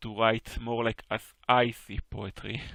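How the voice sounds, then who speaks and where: A man speaks at a medium pitch with an Israeli accent, his voice dry and close with no echo. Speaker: poetry teacher. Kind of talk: online class critique discussion. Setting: voice chat on Discord.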